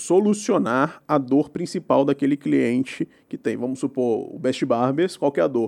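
A man's dark, mellow, fairly high-pitched voice with vocal fry, at a fairly slow pace. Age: 20s. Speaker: tech entrepreneur. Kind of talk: casual interview.

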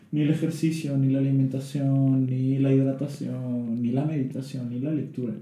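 Amid noticeable background noise and audible room echo, a man speaks at a moderate pace in a medium pitch, monotone and flat, with hardly any pauses. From Tabasco, Mexico. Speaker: psychologist. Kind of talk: casual chat.

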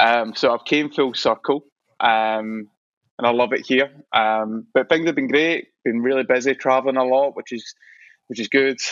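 Fairly even intonation marks this voice with a Scottish accent. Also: man, medium pitch for a man. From Scotland. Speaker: visual artist. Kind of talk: casual chat. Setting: studio. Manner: fast.

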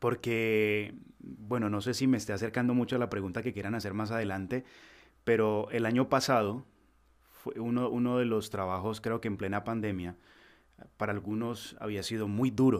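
A plain, everyday voice, a man at a fairly low pitch with fairly even intonation and a moderate pace. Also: very clean recording, silent background. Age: 20s. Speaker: voice-over artist. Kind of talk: interview. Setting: home recording studio.

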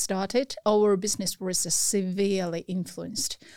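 A woman speaks with a Chinese accent at a fairly slow pace. The sound is dry and close, with no echo. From China (Beijing). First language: Mandarin Chinese. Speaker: restaurant owner. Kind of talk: interview.

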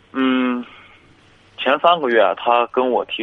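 Music plays in the background. Over it, a man speaks at a very slow pace. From Shanxi, Taiyuan. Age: 20s. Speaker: caller seeking relationship advice. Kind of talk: call-in advice conversation.

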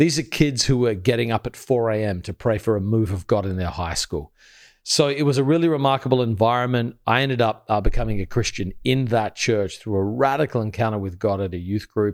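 This man talks at a fairly quick pace with an Australian accent, his pitch is medium and his pitch variation ordinary, he hardly pauses, and the recording is very clean against a silent background. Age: 40s. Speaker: pastor. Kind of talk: casual chat.

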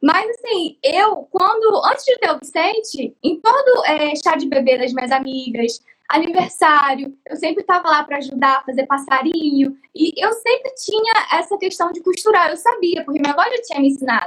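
A woman with an extremely high pitch speaks at a moderate pace in very wide pitch swings, with hardly any pauses. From Cabo Frio, Rio de Janeiro state, Brazil. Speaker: craft YouTuber and artisan. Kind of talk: personal life story. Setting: live stream.

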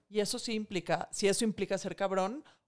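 A woman uses a normal speaking voice at a medium pitch and a fairly quick pace. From Mexico. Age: 40s. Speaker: financial expert and author. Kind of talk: casual interview.

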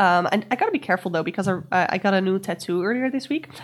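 Pitch varies in an ordinary way as the speaker talks with a non-native accent. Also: woman, very clean recording, silent background. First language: not English. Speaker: tarot and astrology podcast host. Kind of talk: solo week-ahead astrology and tarot guidance.

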